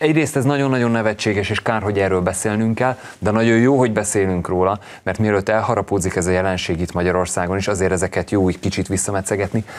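Speaking at a very fast pace, a man keeps his loudness very even, his fairly low pitch showing ordinary variation. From Hungary. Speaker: talk show guest. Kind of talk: studio discussion. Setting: TV studio. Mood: earnest, mildly indignant. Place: studio. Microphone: lapel.

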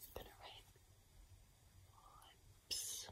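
A woman is whispering. Her pace is fairly slow. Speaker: ASMR creator. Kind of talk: ASMR role play. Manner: whispered. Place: home room. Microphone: phone near.

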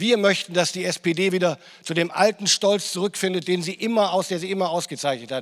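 Against a quiet background, a man talks at a fairly quick pace in a high voice with ordinary pitch variation. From northern Germany. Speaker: politician. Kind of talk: political speech. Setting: stage with audience. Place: hall. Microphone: handheld.

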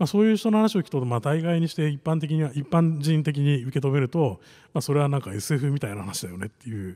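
Very wide pitch swings, a dark, mellow tone and a very fast pace over a quiet background. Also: man. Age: 40s. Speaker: venture capitalist; conference keynote speaker. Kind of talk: panel presentation. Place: hall. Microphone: podium.

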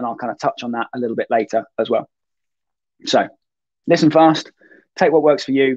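His voice is slightly mellow, with a slightly husky edge, from a man. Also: medium pitch for a man, ordinary pitch variation, moderate pace.

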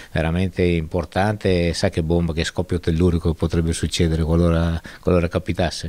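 The man's voice is very deep and low, with a dark, mellow tone. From northern Italy, Mantua province; northern Italy. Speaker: football sporting director. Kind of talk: interview. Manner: halting. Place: hall. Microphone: handheld.

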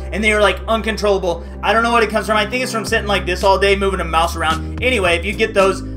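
A man talking at a very fast pace, with clear music in the background. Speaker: freelancing channel host. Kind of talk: casual vlog chat.

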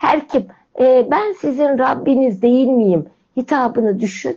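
Against a quiet background, a woman with a high pitch and a dark, mellow tone speaks at a fairly slow pace with lively intonation. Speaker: religious commentator explaining hymn lyrics; program host or guest. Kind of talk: spiritual talk. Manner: animated. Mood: warm, reverent. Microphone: video call.

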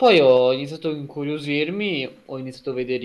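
A man with an ordinary speaking voice, lively intonation and a moderate pace. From Emilia-Romagna, Italy (Lugo, near Ravenna); Emilia-Romagna, Italy. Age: 20s. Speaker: university student; guest. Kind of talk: casual interview. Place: home room.

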